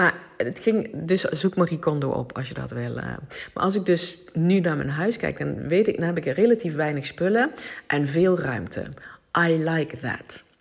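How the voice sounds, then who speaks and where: With lively intonation and vocal fry, a woman speaks at a moderate pace and a fairly low pitch. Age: 40s. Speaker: podcast host, personal development coach. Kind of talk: solo monologue podcast. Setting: at home on the couch. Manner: halting.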